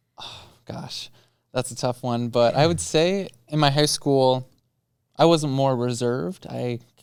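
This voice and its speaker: A loud man with an American accent speaks at a medium pitch and a fairly slow pace, with ordinary pitch variation. He leaves long, frequent pauses. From Minnesota (Buffalo). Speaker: student body president. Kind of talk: casual chat.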